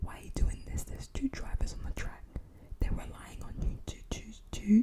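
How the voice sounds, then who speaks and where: A woman is whispering. She keeps a moderate pace. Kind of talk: casual talk to camera. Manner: soft-spoken, whispered.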